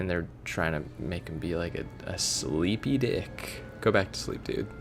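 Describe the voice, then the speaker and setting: Over music in the background, a man with a very deep, low pitch speaks with very wide pitch swings. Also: fairly slow pace. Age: 20s. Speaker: let's play gamer. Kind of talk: gameplay commentary. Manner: animated.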